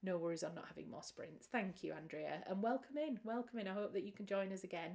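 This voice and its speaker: The intonation of this woman is lively. She has a British accent. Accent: British accent, remarked by a viewer. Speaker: author and writing livestream host. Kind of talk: casual livestream chat. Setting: livestream from home. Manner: warm, chatty.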